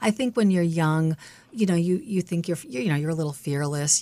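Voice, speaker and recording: In an American accent, a woman with a plain, everyday voice speaks at a fairly low pitch with lively intonation. The sound is dry and close, with no echo. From Massachusetts, Brookline. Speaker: nonprofit executive director. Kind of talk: interview.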